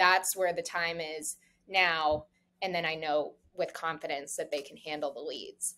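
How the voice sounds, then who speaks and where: Speaking with a South Florida accent, a woman has a fairly low pitch, a bright, sharp tone and fairly even intonation. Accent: American, South Florida. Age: 20s. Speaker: real estate broker. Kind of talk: casual interview chat. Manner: fast, casual with many fillers.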